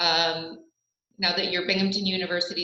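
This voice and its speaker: Her pitch is medium for a woman and her intonation fairly even, with audible room echo around the voice. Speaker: local tourism representative. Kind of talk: presentation. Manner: fast.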